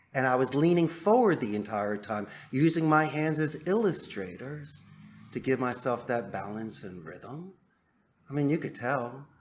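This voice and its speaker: With music in the background, a man speaks at a moderate pace and a fairly high pitch, swinging very widely in pitch. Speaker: call center owner. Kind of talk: podcast interview answer.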